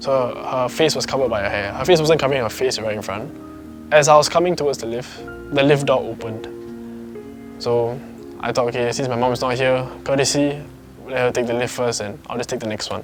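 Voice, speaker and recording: There is music in the background as a man talks. His pace is fairly quick and his intonation fairly even. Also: medium pitch for a man. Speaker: storyteller sharing a personal ghost encounter. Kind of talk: casual personal storytelling to camera.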